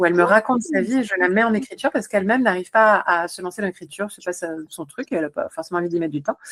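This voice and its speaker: A woman with a medium pitch talks at a very fast pace in an energetic tone with lively intonation. The sound is dry and close, with no echo. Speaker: psychologist and author, guest. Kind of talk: podcast interview.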